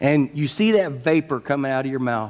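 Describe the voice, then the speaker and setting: A man talks fairly slowly, his pitch varying in an ordinary way. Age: 50s. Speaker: pastor. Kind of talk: sermon. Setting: church. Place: church.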